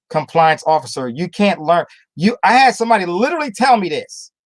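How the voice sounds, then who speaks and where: A man talks at a fairly quick pace in an animated tone. The sound is dry and close, with no echo. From Newark, New Jersey. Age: 50s. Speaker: trading coach and army veteran. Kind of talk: motivational webinar talk. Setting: online group call.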